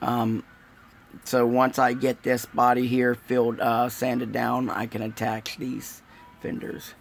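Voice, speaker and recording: A man's medium-pitched, monotone voice at a fairly slow pace, with flat intonation. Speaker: scale model builder. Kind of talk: live build stream. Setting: livestream. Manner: hesitant, many fillers.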